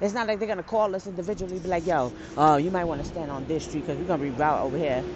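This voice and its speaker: Very fast, animated speech with lively intonation, audible room echo, and noticeable background noise. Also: woman, fairly low pitch for a woman. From New York City, the Bronx. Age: 30s. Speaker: podcaster. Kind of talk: casual vlog-style monologue. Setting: outdoors, walking to and waiting at bus stop. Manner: animated, laughing often.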